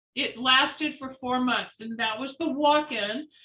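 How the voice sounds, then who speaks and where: Her voice is raised and projected, high in pitch. The woman's tone is bright and sharp. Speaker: psychic. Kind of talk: interview storytelling.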